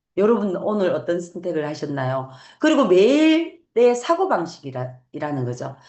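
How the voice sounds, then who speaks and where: In a Gyeongsang accent, the voice swings very widely in pitch, with audible room echo. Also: woman, fairly low pitch for a woman, moderate pace. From Gyeongsang region, Korea. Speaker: network marketing business owner. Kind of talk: motivational talk. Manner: halting with fillers.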